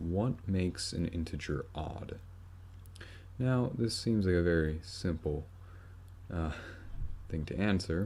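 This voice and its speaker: A dark, mellow, somewhat breathy voice moves at a very slow pace with long, frequent pauses. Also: man, very deep, low pitch for a man, ordinary pitch variation. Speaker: math tutorial maker. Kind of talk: tutorial.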